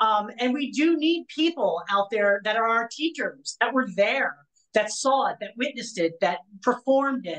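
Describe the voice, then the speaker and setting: Lively intonation and a moderate pace mark an ordinary speaking voice. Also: woman, fairly high pitch for a woman. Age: 40s. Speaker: magazine interviewer. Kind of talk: interview.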